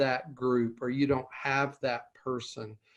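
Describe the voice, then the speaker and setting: A man with a medium pitch speaks at a fairly slow pace against a quiet background. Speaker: licensed counselor and peer support specialist. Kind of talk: closing remarks of a recorded conversation. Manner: halting, many filler words and repeats.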